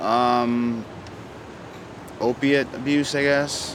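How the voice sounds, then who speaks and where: Very slow, monotone, flat delivery amid noticeable background noise and audible room echo. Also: man. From Vancouver, Canada. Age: 30s. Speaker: drug user interviewed on street. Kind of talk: street interview.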